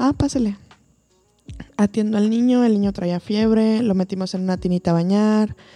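The woman has a dark, mellow tone. Her intonation stays fairly even. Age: 30s. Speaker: physician. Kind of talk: casual chat. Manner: halting.

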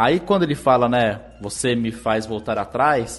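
This is an ordinary speaking voice. A man talks at a medium pitch with lively intonation. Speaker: podcast host, music analyst. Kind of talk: casual music-analysis chat.

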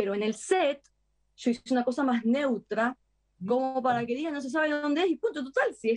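A woman's normal speaking voice with lively intonation at a moderate pace, dry and close with no echo. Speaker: actress. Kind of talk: interview.

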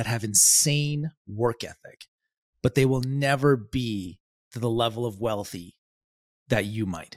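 Lively in intonation, a man speaks at medium pitch in an ordinary speaking voice, the sound dry and close with no echo. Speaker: ecommerce business owner and podcast host. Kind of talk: casual chat.

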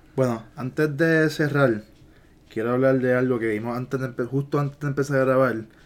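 This man talks at a fairly quick pace, his medium-pitched voice keeping fairly even intonation. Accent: Puerto Rican. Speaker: podcast co-host. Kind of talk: casual chat.

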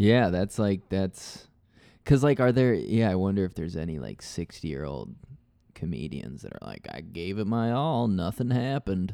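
An American-accented man speaks at a moderate pace with a dark, mellow tone and fairly low pitch, his pitch swinging very widely and his loudness rising and falling a lot. The background is quiet. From Nebraska. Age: 20s. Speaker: comedian. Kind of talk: casual chat.

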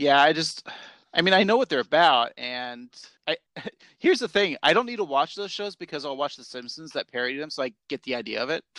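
A man with an unremarkable speaking voice talks at a fairly high pitch and a fairly quick pace. His intonation is lively, and his loudness swings a lot. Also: dry, close sound with no echo, quiet background. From Portland, Oregon area. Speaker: podcast co-host. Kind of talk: casual chat.

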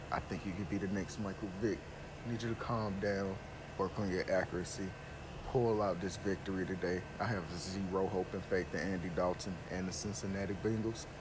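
A man speaks at a fairly quick pace with a low, nasal voice. His intonation stays fairly even.

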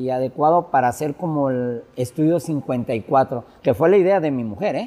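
Using a normal speaking voice, a man talks at a fairly slow pace with lively intonation and a fairly high pitch. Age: 50s. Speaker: DJ. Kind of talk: casual interview. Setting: bar with music playing.

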